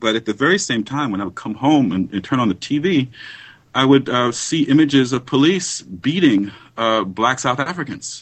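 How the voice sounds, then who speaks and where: A man with an American accent speaks at a moderate pace in a plain, everyday voice. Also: medium pitch for a man, lively intonation. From US, New York and Los Angeles. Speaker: history professor. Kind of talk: interview. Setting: Skype call.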